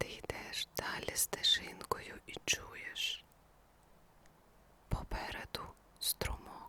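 The whispering voice moves at a very slow pace with long, frequent pauses and a calm tone, over noticeable background noise. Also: woman. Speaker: ASMR sleep story narrator. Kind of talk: guided sleep story. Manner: slow, calm.

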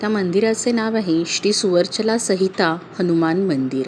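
Noticeable background noise sits behind a woman talking at a medium pitch with ordinary pitch variation. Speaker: storyteller, narrator. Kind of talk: devotional story narration. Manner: soft-spoken, calm.

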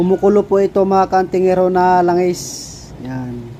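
Noticeable background noise sits behind speech delivered at a moderate pace with fairly even intonation. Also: man. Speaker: folk amulet maker vlogger. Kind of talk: video demonstration.

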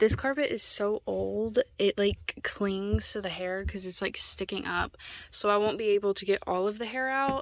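A woman at a fairly slow pace with ordinary pitch variation, dry sound with no echo, and a quiet background. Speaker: vlogger. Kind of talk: casual vlog chat. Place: open country. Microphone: phone near.

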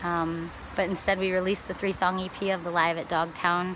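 A woman with an American accent at a moderate pace, dry sound with no echo, and noticeable background noise. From Wisconsin. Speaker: touring musician and vlogger. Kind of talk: casual video diary. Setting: outdoors by water. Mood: happy, relaxed. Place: waterside. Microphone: phone near.

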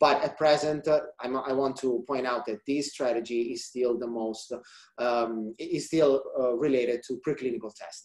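A man speaks with an Italian accent at a medium pitch. His pace is fairly slow and his intonation fairly even, against a quiet background. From central Italy. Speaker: research scientist; presenter. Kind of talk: scientific presentation. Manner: halting, many fillers. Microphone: webcam.

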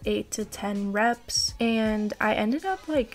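A woman's fairly high voice with vocal fry, at a fairly slow pace

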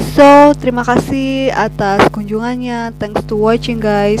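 Over music in the background, a woman speaks with ordinary pitch variation, the sound dry with no echo. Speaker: vlogger. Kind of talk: casual vlog chat. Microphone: headset.

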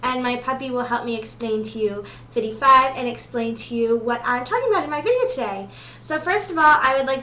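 Speaking at a fairly quick pace, a woman with a high pitch is heard with audible room echo. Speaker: vlogger. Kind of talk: casual vlog chat. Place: home room. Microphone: webcam.

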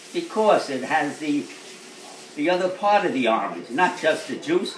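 A man's high voice with lively intonation at a moderate pace, with audible room echo and light background noise. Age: 80s+. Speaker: elderly man giving tips. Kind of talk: casual talk, informal interview answers. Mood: chatty, mildly opinionated. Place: kitchen. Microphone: phone near.

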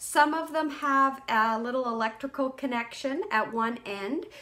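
Her tone is bright and sharp. The woman's pitch variation is ordinary.

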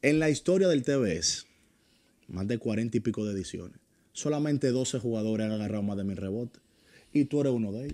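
Fairly quick overall yet broken by long, frequent pauses, the voice has a dark, mellow tone and lively intonation. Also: man. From Dominican Republic, San Cristóbal. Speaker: sports podcast host. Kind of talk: interview. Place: studio. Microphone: studio mic.

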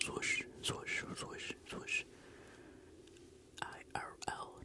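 A gentle-toned whisper. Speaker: ASMR creator. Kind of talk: ASMR trigger-word whisper. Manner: whispered, gentle, sleepy, close-up. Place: home room. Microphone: handheld.

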